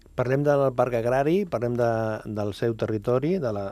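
A man's medium-pitched voice with a dark, mellow tone, at a fairly slow pace, on a very clean recording with a silent background. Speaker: radio host. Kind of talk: radio interview.

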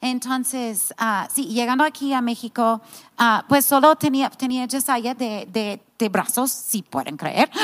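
Very slowly, a woman with an American accent speaks at a high pitch with ordinary variation, the sound dry and close with no echo. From United States. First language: English (speaking Spanish). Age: 50s. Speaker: pastor's wife and ministry founder. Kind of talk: casual chat. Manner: halting.

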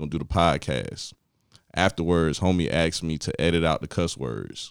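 With vocal fry and a very deep, low pitch, a man talks over a very clean recording with a silent background. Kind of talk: casual group chat between podcasters.

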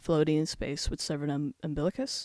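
A woman speaks in a very deep, low voice with a dark, mellow tone. Her pace is fairly slow. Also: very clean recording, silent background. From immigrant raised in Werribee, Melbourne, Australia. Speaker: poet. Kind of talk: interview.

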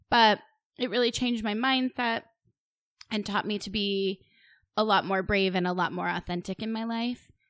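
At a moderate pace, a woman with a fairly high pitch talks in fairly even intonation, leaving long, frequent pauses against a quiet background. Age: middle-aged. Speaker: podcast co-host and blogger. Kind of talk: casual chat.

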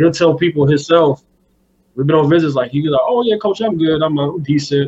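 An American-accented man speaks in a somewhat breathy voice. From Buffalo, New York. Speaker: high school football coach and recruiting scout. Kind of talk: casual interview. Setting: phone call.

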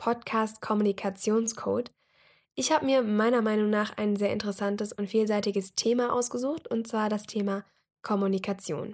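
A woman with a normal speaking voice talks at a moderate pace and fairly high pitch on a very clean recording with a silent background. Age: 20s. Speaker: podcast host, university student. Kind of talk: solo podcast introduction. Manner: casual with frequent fillers.

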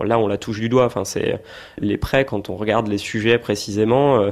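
Over a quiet background, a man with an unremarkable speaking voice talks at a fairly low pitch with fairly even intonation. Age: 30s. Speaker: small business owner and investor. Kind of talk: interview.

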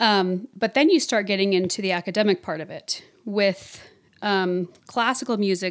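Here is a woman with a plain, everyday voice at a medium pitch. She talks at a moderate pace with ordinary pitch variation. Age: 30s. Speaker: voice teacher and singer. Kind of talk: casual interview chat.

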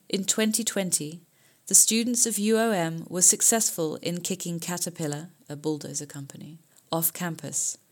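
Here is a woman with a normal speaking voice, pitched fairly low. She talks at a moderate pace with ordinary pitch variation on a very clean recording with a silent background. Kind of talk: press release read aloud, then protest speech. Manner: formal, forceful, declamatory.

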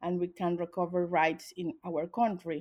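Woman with a Spanish accent, dark, mellow tone, quiet background. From Venezuela. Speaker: human rights organization director. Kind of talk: interview. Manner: halting.

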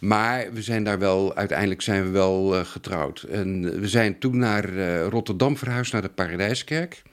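Fairly slow yet with hardly any pauses, a man speaks at a fairly low pitch with ordinary pitch variation. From Netherlands, Haarlem area. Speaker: antique silver expert. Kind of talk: interview. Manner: halting.

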